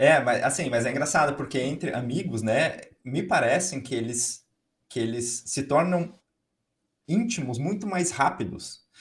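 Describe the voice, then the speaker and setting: His voice is fairly high and somewhat breathy. The man speaks at a fairly slow pace with lively intonation. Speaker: podcast host. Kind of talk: interview. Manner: animated.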